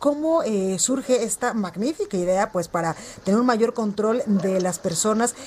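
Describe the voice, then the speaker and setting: Fairly high-pitched speech from a woman, with noticeable noise in the background. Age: 30s. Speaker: news anchor. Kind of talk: news broadcast.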